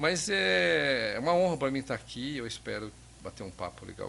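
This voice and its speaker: A man talks at a moderate pace. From interior of São Paulo state, Brazil. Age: 60s. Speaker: tech company founder. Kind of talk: podcast interview. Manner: halting, with many fillers and repetitions.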